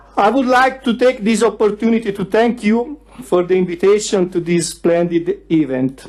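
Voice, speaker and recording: A man speaks in an Italian accent at a moderate pace. His voice is high and his intonation lively. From Italy, Tuscany (Pistoia). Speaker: youth federalist activist. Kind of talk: prepared speech. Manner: reading aloud.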